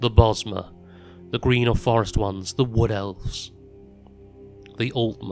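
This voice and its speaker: With music playing in the background, the speaker holds a moderate pace and fairly even intonation. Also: man. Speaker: voice actress. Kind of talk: fantasy lore reading.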